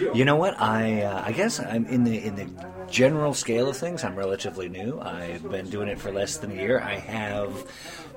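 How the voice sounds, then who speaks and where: Noticeable background noise sits behind a voice moving at a moderate pace with lively intonation. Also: man, fairly low pitch for a man. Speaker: podcast host. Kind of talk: casual chat. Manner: animated.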